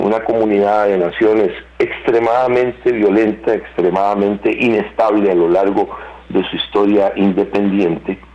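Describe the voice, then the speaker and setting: A man speaks at a fairly low pitch with fairly even intonation. His pace is moderate, with noticeable background noise. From Costa Rica. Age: 60s. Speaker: security analyst. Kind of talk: interview. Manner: measured, with frequent fillers.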